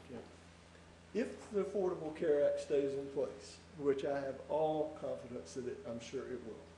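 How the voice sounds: A man speaks at a moderate pace in a dark, mellow tone, with audible room echo. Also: medium pitch for a man, ordinary pitch variation.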